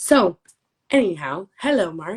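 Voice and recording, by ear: Speaking slowly, a woman with a fairly low pitch and a husky, rough edge makes big pitch swings.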